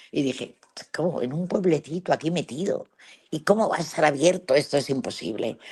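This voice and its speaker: A woman's very deep, low pitch at a fairly quick pace, with ordinary pitch variation. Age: 80s+. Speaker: travel adventurer. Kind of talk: interview storytelling.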